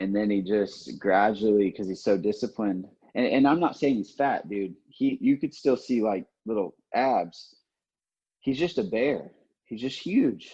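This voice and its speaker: With an American accent, this voice has a dark, mellow tone, lively intonation and a fairly slow pace. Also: man. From Oklahoma, US. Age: 20s. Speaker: MMA fighter. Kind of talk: casual interview.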